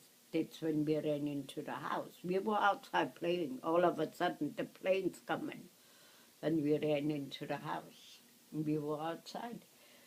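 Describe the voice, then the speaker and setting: In a German accent, a woman speaks at a fairly slow pace. Her pitch is very deep and low, with ordinary pitch variation. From Germany. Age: 80s+. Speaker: war survivor recalling childhood. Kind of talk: reminiscing, casual storytelling. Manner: halting.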